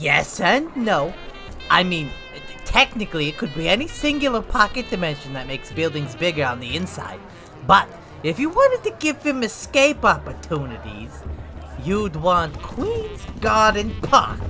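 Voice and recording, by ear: Clear music plays in the background while someone talks at a moderate pace in a put-on character voice.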